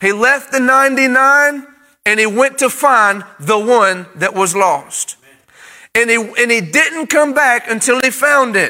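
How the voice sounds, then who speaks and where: Projecting a raised voice, a man speaks fairly slowly at an extremely high pitch, his tone bright and sharp, with ordinary pitch variation and very even loudness. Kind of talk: sermon, livestreamed to an online congregation. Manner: call-and-response preaching, urging the congregation to say amen; fervent, exhortative, building in emphasis.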